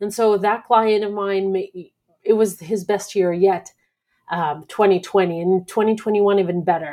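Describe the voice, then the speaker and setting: In a very clean recording with a silent background, a woman speaks at a fairly slow pace in a dark, mellow tone at medium pitch. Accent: Russian. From Belarus. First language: Russian. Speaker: podcast host. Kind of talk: solo monologue. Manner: halting, many fillers.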